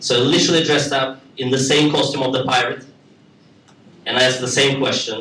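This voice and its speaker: A man talks at a moderate pace in a Russian accent. Noticeable background noise surrounds him. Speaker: stand-up comedian. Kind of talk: live stand-up comedy. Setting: live comedy club.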